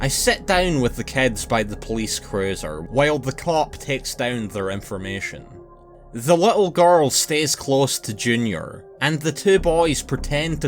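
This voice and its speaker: The speaker has a Scottish accent and talks at a fairly slow pace. The pitch swings very widely over music in the background. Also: man. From Scotland. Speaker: narrator. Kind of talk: horror story narration.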